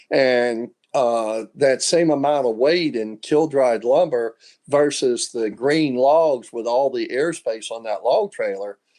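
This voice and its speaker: The man's tone is dark and mellow. His pace is very slow. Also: medium pitch for a man, ordinary pitch variation. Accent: Southern US. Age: 70s. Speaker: sawmill owner. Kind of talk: interview.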